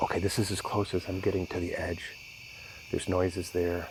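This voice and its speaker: A man speaks quietly at a moderate pace. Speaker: outdoor vlogger. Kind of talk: vlog narration. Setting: outdoors in woods at night. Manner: quiet, hushed.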